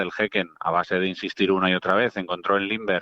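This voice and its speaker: The delivery comes at a very fast pace. Its intonation is monotone and flat. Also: man. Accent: Madrid. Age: 40s. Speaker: football radio commentator. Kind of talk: casual chat.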